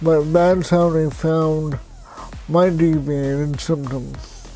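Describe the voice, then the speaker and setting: Against music in the background, a man with a fairly high pitch speaks very slowly in a flat monotone. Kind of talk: personal story vlog.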